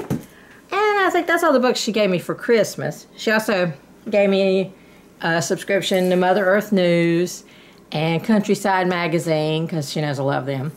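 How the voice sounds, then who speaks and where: Ordinary pitch variation and a moderate pace in a woman's speech. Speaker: haul vlogger. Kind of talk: casual vlog chat. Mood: cheerful, chatty. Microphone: phone near.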